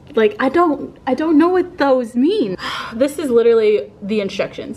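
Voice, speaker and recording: Music plays in the background behind a woman speaking. Her high voice carries lively intonation. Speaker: fitness vlogger. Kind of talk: casual vlog chat. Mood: playful, mildly overwhelmed. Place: garage. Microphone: phone near.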